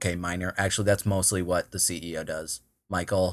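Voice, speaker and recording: A man with a Minnesotan accent and a very deep, low pitch, on a very clean recording with a silent background. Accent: Minnesota. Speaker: tech startup co-founder and CTO. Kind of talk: casual interview.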